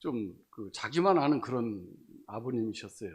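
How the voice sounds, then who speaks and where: The man's pitch swings very widely. He keeps to a fairly slow pace. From Chungcheong, South Korea. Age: 60s. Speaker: church member giving testimony. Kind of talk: testimony. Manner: halting, many fillers.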